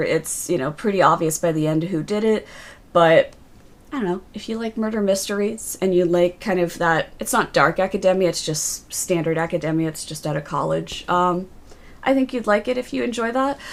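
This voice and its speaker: A woman's unremarkable speaking voice, medium in pitch, fairly quick, with lively intonation. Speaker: book reviewer livestreamer. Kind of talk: casual livestream book review. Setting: livestream.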